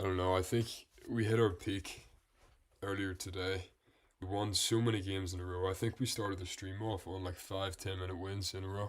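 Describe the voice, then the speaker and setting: A man talks at a fairly quick pace with a very deep, low pitch and a somewhat breathy, relaxed tone. His intonation is monotone and flat, and the recording is very clean with a silent background. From Northern Ireland. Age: 20s. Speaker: chess streamer. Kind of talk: live-stream commentary while playing chess. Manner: relaxed, thinking aloud.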